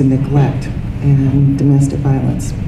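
A woman speaks at a fairly slow pace in a very deep, low voice, with noticeable noise in the background. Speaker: speaker. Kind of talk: lecture. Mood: warm, light humor. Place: meeting room. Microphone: handheld.

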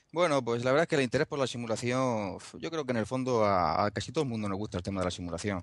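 A man speaks at a very fast pace in a medium pitch with ordinary pitch variation. The background is quiet. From Spain, Murcia. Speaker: DIY motion simulator builder. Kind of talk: casual chat.

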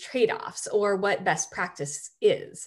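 Against a quiet background, a woman speaks at a fairly high pitch with very wide pitch swings. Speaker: computer science researcher. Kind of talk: lecture. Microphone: webcam.

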